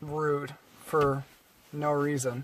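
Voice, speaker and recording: Noticeable background noise is present. A man does the talking. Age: young. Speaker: fast food manager. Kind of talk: casual chat.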